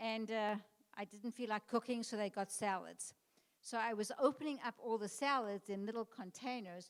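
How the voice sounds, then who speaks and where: A woman with a non-native accent speaks in a fairly high voice at a moderate pace. Her intonation is fairly even, and the sound is dry and close with no echo. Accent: non-native, foreign. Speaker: tour organizer. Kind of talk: informational talk.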